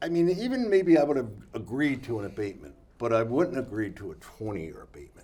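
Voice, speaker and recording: A man's dark, mellow voice at medium pitch with an American accent, very fast pace, very wide pitch swings, big swings in loudness and audible room echo. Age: 70s. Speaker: city council candidate. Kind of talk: casual interview. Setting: studio. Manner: halting.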